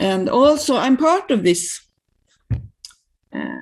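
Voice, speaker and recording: A woman with a Swedish accent talks at a very slow pace in a fairly high voice with vocal fry and very wide pitch swings. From Sweden. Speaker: systemic practitioner with a doctorate. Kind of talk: interview conversation. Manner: halting.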